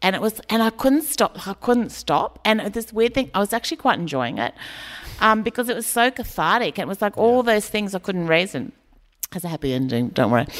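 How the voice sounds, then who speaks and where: A woman's fairly high, vocal-fried voice with an Australian accent, very wide pitch swings and a fairly quick pace, in a dry, close sound with no echo. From rural Queensland, Australia. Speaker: comedian and writer. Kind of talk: live onstage conversation. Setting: community hall with live audience.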